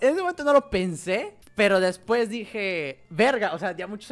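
A man is speaking. His voice sits at a high pitch. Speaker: streamer. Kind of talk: casual storytelling to stream chat. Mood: amused, laughing often. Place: home room. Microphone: studio mic.

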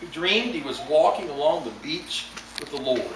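Light background noise runs under the voice. The room echo is audible. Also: man. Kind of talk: sermon. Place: church. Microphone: camera far.

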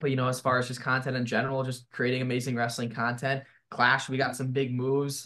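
A man is talking very quickly. Nothing else can be heard behind him. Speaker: remote podcast guest, wrestling content creator. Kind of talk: interview answer. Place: home room. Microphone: video call.

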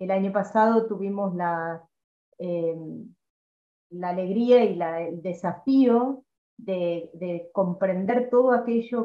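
Speaking at a moderate pace with ordinary pitch variation, a woman with a Rioplatense accent is heard in a quiet background with audible room echo. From Argentina. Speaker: seminar moderator. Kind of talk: formal moderation. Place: home room. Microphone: video call.

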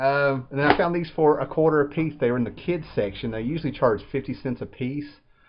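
The pace is fairly quick. Pitch moves with ordinary variation. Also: man.

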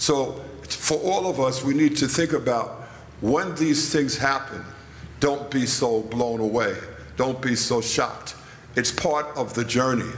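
With light background noise and audible room echo, a man speaks with ordinary pitch variation and long, frequent pauses. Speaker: panelist. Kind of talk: interview answer. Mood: calm, teaching tone. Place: church. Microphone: handheld.

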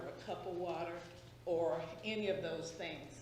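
A woman speaks fairly slowly at a fairly low pitch in a Southern US accent. The room echo is audible and the background noise is noticeable. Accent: Southern US (Georgia). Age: 60s. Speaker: public commenter. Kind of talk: public comment at meeting.

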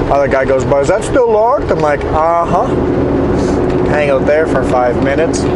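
Someone talks at a fairly quick pace. Loud background noise fills the recording. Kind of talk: casual conversation. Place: car. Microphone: camera far.

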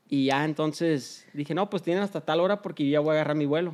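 A man's fairly high voice at a fairly quick pace, with ordinary pitch variation, over a quiet background. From Los Angeles, US. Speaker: business partner; guest. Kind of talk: casual interview; interview answer, casual storytelling. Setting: in a shop. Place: studio. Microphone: studio mic.

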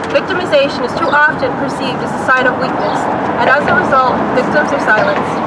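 Amid loud background noise, a woman speaks at a very fast pace. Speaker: rally speaker reading a letter. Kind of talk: rally speech reading a formal advocacy letter aloud. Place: street. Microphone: camera far.

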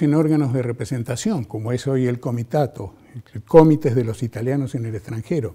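Over a quiet background, a man speaks at a moderate pace in a dark, mellow, somewhat breathy tone with lively intonation. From Mendoza, Argentina. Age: 70s. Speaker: television journalist. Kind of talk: interview monologue. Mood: warm, reflective, engaged. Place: studio. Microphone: lapel.

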